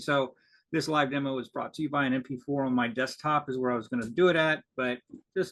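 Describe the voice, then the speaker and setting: At a fairly quick pace, a man talks in an ordinary speaking voice, fairly high in pitch with ordinary pitch variation. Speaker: conference presenter. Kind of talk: conference presentation. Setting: video call.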